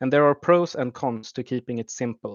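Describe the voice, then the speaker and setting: This man speaks with a Swedish accent. His pitch is medium, with ordinary variation. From Sweden. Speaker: YouTube map analyst. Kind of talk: livestream commentary. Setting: livestream. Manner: halting, many fillers.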